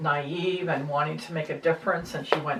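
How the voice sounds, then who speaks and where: A woman with an American accent speaks at a fairly low pitch and moderate pace over noticeable background noise. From United States. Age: 70s. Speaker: interviewee sharing views on government. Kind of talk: casual conversation. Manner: hesitant, with fillers.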